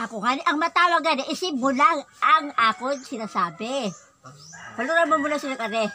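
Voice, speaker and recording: Over noticeable background noise, a woman projects a raised, high-pitched voice at a moderate pace with lively intonation. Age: old. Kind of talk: casual conversation. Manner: loud.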